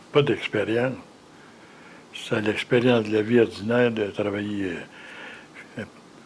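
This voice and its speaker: Monotone, flat intonation comes at a fairly slow pace with long, frequent pauses. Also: man, medium pitch for a man. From Quebec, Mauricie (Shawinigan). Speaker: retired factory worker. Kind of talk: interview. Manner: halting, repeats words.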